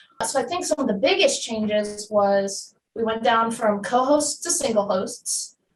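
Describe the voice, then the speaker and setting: The voice has an American accent and is somewhat breathy. Its pitch varies in an ordinary way. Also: woman. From New Jersey. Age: 20s. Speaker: comic shop live show host. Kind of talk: interview.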